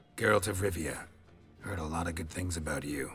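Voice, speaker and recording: A man speaks at a fairly quick pace in a put-on character voice, raspy and very deep and low in pitch. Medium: video game. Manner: terse, dry.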